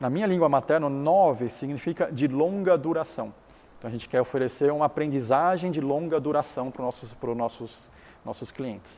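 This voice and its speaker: With a Chinese accent, a man speaks at a moderate pace in a dark, mellow tone, his fairly high pitch showing ordinary variation. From Taiwan. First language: Chinese (speaking Portuguese). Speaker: business founder and educator. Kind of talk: interview.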